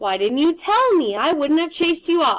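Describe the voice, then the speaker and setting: A woman's raised, projected put-on character voice, extremely high in pitch with very wide pitch swings, at a moderate pace. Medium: read story. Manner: hesitant, doubtful.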